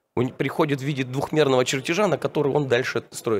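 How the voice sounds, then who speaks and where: Light background noise sits behind a man's voice. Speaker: IT automation manager; conference presenter. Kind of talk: conference talk. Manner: halting. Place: hall. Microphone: handheld.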